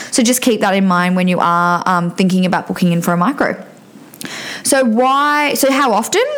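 Intonation is lively and the pace moderate. Noticeable background noise is present. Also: woman, medium pitch for a woman. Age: 20s. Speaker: podcast host, nurse and cosmetic injector. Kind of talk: solo beauty podcast monologue. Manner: casual with many fillers.

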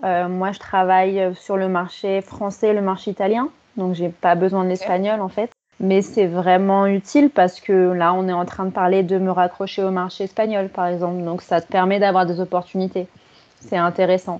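This woman's intonation is monotone and flat. She keeps a medium pitch and a moderate speed. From Paris, France. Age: 30s. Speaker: marketing professional. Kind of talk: interview.

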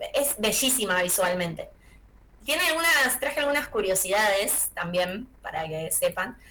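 A woman's fairly high voice with very wide pitch swings at a fairly slow pace, amid audible room echo and noticeable background noise. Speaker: film and series columnist. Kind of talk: radio column, casual chat.

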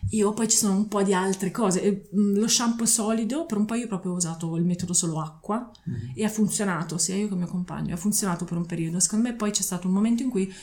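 A woman talks at a fairly quick pace in an ordinary speaking voice. Her pitch is medium, with ordinary variation. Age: 40s. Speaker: zero-waste advocate. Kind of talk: casual chat. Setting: at her home.

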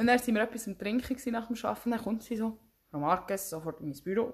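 A woman speaks at a very fast pace in a somewhat breathy voice, with ordinary pitch variation. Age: 20s. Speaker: podcast co-host, trained hotel specialist. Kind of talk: casual chat. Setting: recording face to face with co-host.

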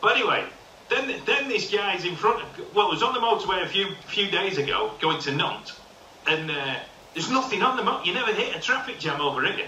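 A man's raised, projected voice, high in pitch, with lively intonation and a fairly quick pace over noticeable background noise. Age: 50s. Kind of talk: casual chat. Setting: video call.

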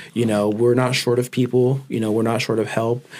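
In an American accent, a man speaks at a medium pitch with a dark, mellow tone and monotone, flat intonation. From Oxnard, California. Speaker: small business owner. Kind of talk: casual interview.

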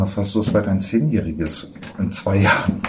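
The pitch moves with ordinary variation. Noticeable background noise and audible room echo fill the recording. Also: man. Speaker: screenwriter and podcast host. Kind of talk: casual chat. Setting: kitchen.

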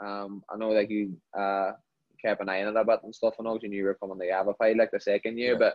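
A man speaks at a very fast pace in a Northern Irish accent. His fairly low voice stays monotone and flat. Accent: Derry Northern Irish. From Northern Ireland, Derry. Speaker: professional footballer. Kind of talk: casual interview.

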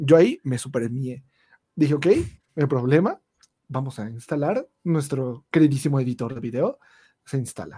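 Somewhat breathy and fairly high in pitch, a man speaks at a moderate pace with long, frequent pauses and ordinary pitch variation, the sound dry and close with no echo. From Mexico, State of Mexico (Ecatepec). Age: 20s. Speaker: YouTuber. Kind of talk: casual chat.

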